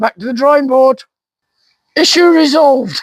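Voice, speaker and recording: A man speaks in an extremely high pitch at a moderate pace. The sound is dry and close, with no echo. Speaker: vlogger, gardener. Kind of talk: casual vlog talk to camera. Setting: outdoors in garden.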